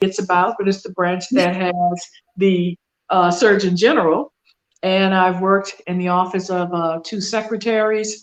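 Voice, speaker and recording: This woman has an American accent and a medium pitch, with a normal speaking voice. Her intonation is fairly even and her pace moderate. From US South. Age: 60s. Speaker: business consultant, military retiree. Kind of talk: podcast interview.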